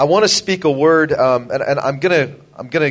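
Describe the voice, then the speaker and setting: Speaking at a moderate speed, a man lets his pitch vary in an ordinary way. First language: English (speaking Russian). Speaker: preacher. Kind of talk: sermon.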